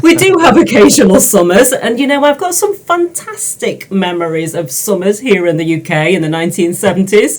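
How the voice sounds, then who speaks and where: A woman with a British accent talks with very wide swings in pitch and hardly any pauses. Noticeable background noise runs under her voice. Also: medium pitch for a woman, fairly quick pace. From England, Peak District. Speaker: dyslexia tutor. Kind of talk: casual interview.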